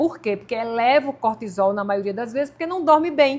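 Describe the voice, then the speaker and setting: A woman speaks in a high-pitched voice. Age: 60s. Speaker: nutritionist. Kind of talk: interview podcast.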